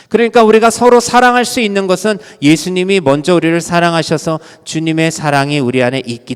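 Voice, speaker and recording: Very wide pitch swings at a moderate pace. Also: man. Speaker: pastor. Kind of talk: sermon.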